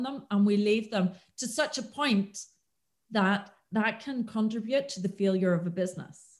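A woman with a Northern Irish accent talks at a fairly slow pace, her voice somewhat breathy and her intonation lively. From Northern Ireland, County Antrim. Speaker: business consultant. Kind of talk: podcast interview.

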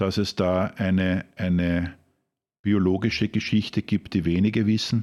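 In a Lower Austrian accent, the voice has a dark, mellow tone and monotone, flat intonation at a moderate pace, with a dry, close sound with no echo and a very clean recording over a silent background. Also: man. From Austria, Krems (Wachau, Lower Austria). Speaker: master barista. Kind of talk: interview.

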